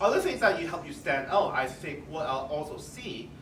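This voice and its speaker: A man talks over noticeable background noise, with audible echo in the room. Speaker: career panelist, HR professional. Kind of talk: panel discussion. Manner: soft-spoken.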